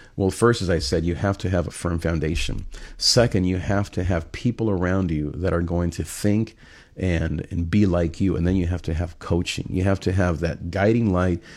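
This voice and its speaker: A man's very deep, low voice at a moderate pace, with fairly even intonation, in a very clean recording with a silent background. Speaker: pastor and life coach. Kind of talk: motivational livestream monologue.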